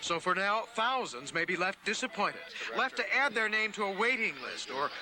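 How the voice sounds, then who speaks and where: The background noise is noticeable. A man speaks at a fairly quick pace with lively intonation. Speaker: TV news correspondent. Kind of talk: broadcast TV news report voiceover.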